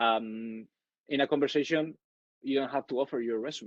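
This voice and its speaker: The speaker has a Spanish accent and fairly even intonation. The sound is dry and close with no echo, over a quiet background. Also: man. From Spain, Madrid. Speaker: networking speaker. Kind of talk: webinar talk. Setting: online webinar. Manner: halting, many fillers.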